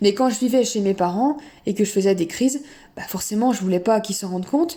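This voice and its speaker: A woman speaks at a fairly quick pace. Her voice is fairly high, with ordinary pitch variation. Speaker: eating disorder recovery vlogger. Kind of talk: personal testimony. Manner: hesitant, many fillers.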